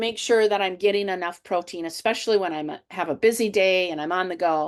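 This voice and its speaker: A woman talks at a moderate pace with ordinary pitch variation in a normal speaking voice, over a quiet background. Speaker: health and fitness coach. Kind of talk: webinar presentation. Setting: online webinar.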